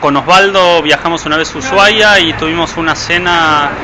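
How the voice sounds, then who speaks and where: A man's fairly high voice is heard with noticeable background noise behind it. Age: 30s. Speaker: film director. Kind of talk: interview.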